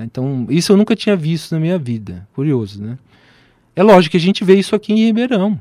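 A man with a dark, mellow tone talks at a very fast pace in a high pitch, his voice swinging very widely in pitch and greatly in loudness, on a very clean recording with a silent background. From Brasília, Brazil. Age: 40s. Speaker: physician and professor. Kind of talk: radio interview. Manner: hesitant, many fillers.

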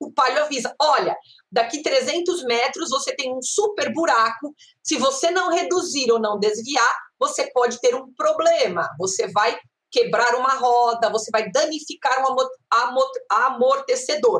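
Lively intonation in a high-pitched female voice. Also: fairly slow pace. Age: 50s. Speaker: professor and data science researcher. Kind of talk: interview. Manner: animated.

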